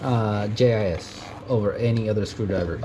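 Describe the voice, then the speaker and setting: The speaker has a Mexican accent. There is noticeable background noise. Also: man. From US, Mexican family. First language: Spanish. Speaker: tool enthusiast youtuber. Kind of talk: casual tool show-and-tell. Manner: halting, many fillers.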